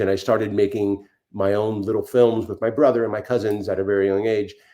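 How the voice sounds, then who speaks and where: A man's voice at medium pitch. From Miami, South Florida, Cuban-American family. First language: Spanish. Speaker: film and TV director. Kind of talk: interview. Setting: podcast interview. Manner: halting, many fillers and repeats.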